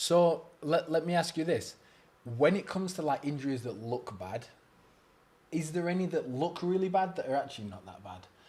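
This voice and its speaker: In an English accent, the speaker moves at a moderate pace with lively intonation and big swings in loudness. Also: man, fairly high pitch for a man. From England. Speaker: podcast host. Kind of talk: casual chat.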